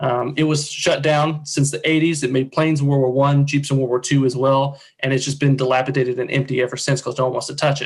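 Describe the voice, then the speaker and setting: A man with a fairly high pitch rushes along at a very fast pace with hardly any pauses, sounding somewhat breathy and keeping a monotone, flat intonation. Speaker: nonprofit presenter. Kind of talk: presentation.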